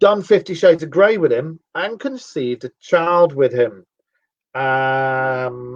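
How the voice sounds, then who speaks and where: At a very slow pace, a man with a London accent talks in a fairly high voice with lively intonation. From northern England, Cheshire (Sale, Timperley). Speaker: radio show host. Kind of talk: casual chat.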